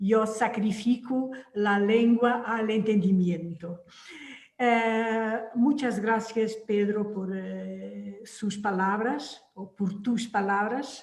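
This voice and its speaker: Someone speaks very slowly with a Portuguese accent, the voice somewhat breathy. The intonation is fairly even, and room echo is audible. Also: woman, fairly high pitch for a woman. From Portugal, Algarve. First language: Portuguese (speaking Spanish). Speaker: novelist. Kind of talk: panel discussion.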